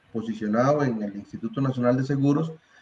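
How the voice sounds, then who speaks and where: This man speaks with a Costa Rican accent and ordinary pitch variation. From Costa Rica, San José area (Tibás). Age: 60s. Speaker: university candidate for rector, statistics tutor. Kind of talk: interview. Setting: live stream. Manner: hesitant, with fillers and repetitions.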